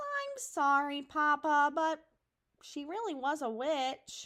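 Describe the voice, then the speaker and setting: A woman speaks in a put-on character voice with a high pitch. Her pace is fairly slow. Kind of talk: bedtime story. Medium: read story. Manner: eager, excitable.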